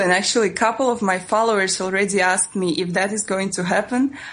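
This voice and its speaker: A woman speaks with a Russian accent at a fairly quick pace. Her pitch variation is ordinary. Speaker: travel blogger. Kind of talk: interview. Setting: phone call.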